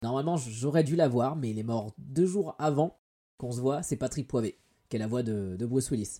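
The man has a dark, mellow tone and speaks at a moderate pace. His pitch varies in an ordinary way. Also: medium pitch for a man. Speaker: YouTuber. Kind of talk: casual chat. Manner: hesitant, many fillers.

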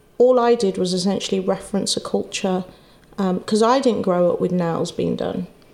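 At a moderate pace, a woman with a medium pitch talks with vocal fry and ordinary pitch variation. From England, Wolverhampton. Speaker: nail salon and beauty app founder. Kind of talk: casual interview chat. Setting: clinic.

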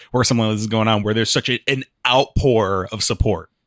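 A man speaks at a moderate pace in an ordinary speaking voice, his pitch in the middle range. The sound is dry and close, with no echo. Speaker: podcast co-host. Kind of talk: casual chat.

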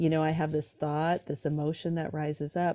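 In a very clean recording with a silent background, a woman with an American accent speaks in a very deep, low voice with a dark, mellow tone. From California. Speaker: drummer and author. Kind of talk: casual interview chat.

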